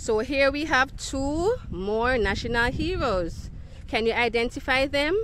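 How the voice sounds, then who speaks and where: A woman's high-pitched voice at a fairly slow pace with lively intonation, dry sound with no echo, and light background noise. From Jamaica. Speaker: children's educator. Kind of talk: educational video for children. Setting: outdoors. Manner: animated. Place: garden. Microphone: phone near.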